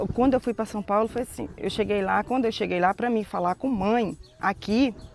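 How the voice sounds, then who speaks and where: A woman with a normal speaking voice and fairly high pitch talks at a moderate pace. Her intonation stays fairly even. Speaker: community resident. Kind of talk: documentary interview.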